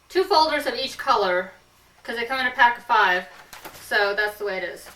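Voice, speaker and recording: Against noticeable background noise, a woman with an American accent talks at a fairly quick pace and fairly high pitch with lively intonation. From US West Coast, Santa Clara County, California. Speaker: comedic show host. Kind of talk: comedic casual chat.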